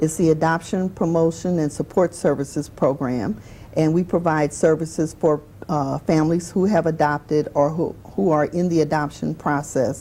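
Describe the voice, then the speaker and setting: The speaker, with a New Orleans accent, keeps a moderate pace and ordinary pitch variation. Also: woman, very deep, low pitch for a woman. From New Orleans, Louisiana. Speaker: adoption agency director. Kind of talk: interview on a talk show.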